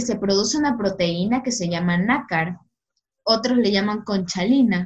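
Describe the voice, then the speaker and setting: This is a woman speaking with a coastal Ecuadorian accent. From Ecuador, Guayaquil (south). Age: 20s. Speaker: law student and youth ministry worker. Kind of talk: faith podcast interview and testimony.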